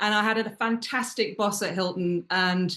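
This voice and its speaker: With a British accent, a woman speaks at a medium pitch. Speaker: luxury hospitality consultant. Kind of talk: interview.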